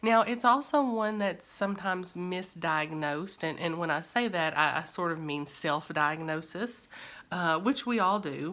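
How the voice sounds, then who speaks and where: In a strong Kentucky accent, a woman speaks at a moderate pace with a fairly low pitch and lively intonation, recorded very cleanly against a silent background. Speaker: therapist. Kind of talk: educational talk. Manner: frequent fillers and false starts.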